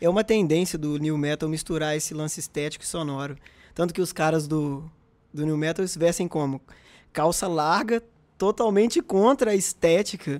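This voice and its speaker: A man with an unremarkable speaking voice, fairly high in pitch, talks at a moderate pace with ordinary pitch variation. The sound is dry and close with no echo, a very clean recording with a silent background. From Brazil, interior of Minas Gerais. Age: 20s. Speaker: podcast co-host. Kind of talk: casual chat.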